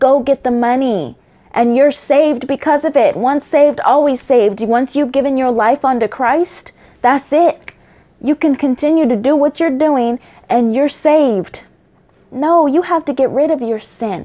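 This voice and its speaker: Loud and at a moderate pace, a woman speaks in a high voice with a dark, mellow tone and ordinary pitch variation. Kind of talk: heartfelt religious monologue. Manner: loud, impassioned.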